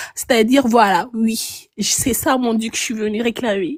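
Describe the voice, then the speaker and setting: Shaky and fairly high-pitched, a woman talks at a moderate pace in a dry, close sound with no echo. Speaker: live stream caller. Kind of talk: playful role-play on a live stream. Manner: shaky voice; hesitant, with many fillers.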